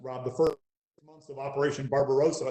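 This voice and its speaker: A man's somewhat breathy voice at a very fast pace. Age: 60s. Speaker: military historian. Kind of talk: interview.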